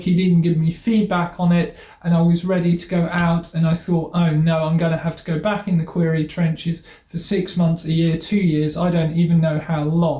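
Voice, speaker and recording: Over noticeable background noise, a high-pitched man talks at a fairly quick pace in a monotone, flat intonation with hardly any pauses. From southern England. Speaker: writer and YouTuber. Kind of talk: casual vlog update.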